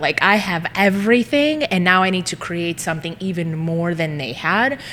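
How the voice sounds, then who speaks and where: In a Greek accent, a woman speaks at a moderate pace and a fairly low pitch. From US, Greek immigrant family. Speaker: social media marketing business owner. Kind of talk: casual interview chat. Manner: animated.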